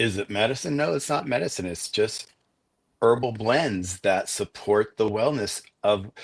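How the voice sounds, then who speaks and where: In a normal speaking voice, a man talks at a fairly slow pace and fairly low pitch with ordinary pitch variation over a quiet background. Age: 60s. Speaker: podcast host and pet product seller. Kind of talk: casual interview chat. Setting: live video stream. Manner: rambling with many fillers and restarts.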